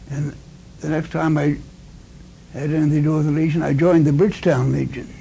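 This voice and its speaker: A man's somewhat breathy, fairly high voice, dark, mellow tone, monotone, flat intonation, very fast pace and audible room echo. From Nova Scotia, Canada. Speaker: war veteran. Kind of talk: interview. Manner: halting.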